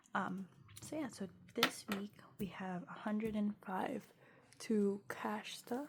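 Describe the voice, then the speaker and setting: A woman talks at a fairly slow pace in a somewhat breathy, medium-pitched voice with ordinary pitch variation. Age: 20s. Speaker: budgeting vlogger. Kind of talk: casual tutorial vlog. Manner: casual, many fillers.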